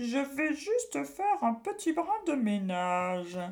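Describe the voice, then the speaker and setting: Cackling in a put-on character voice, a female-sounding speaker goes at a fairly slow pace with a high pitch and very wide pitch swings. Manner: sly, sneering.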